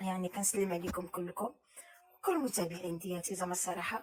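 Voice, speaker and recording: A woman speaking at a very fast pace over noticeable background noise. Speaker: cooking vlogger. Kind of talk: casual vlog talk. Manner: halting.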